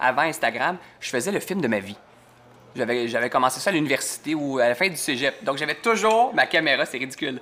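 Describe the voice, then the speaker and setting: A man with a Quebec accent talks at a fairly quick pace in a fairly high, bright, sharp voice. His pitch swings very widely. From Quebec (Saint-Hubert). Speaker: TV host. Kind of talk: casual chat.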